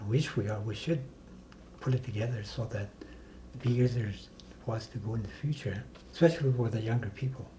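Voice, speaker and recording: Pausing long and often, a man talks at a medium pitch in a dark, mellow, somewhat breathy tone. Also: ordinary pitch variation. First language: Dene (North Slavey). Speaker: community elder and self-government negotiator. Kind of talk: interview conversation. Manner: halting.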